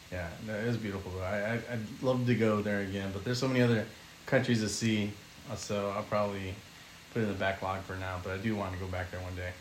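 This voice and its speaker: A man with an American accent, very fast pace, fairly low pitch and fairly even intonation, over noticeable background noise. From California. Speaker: podcast guest. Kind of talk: casual chat.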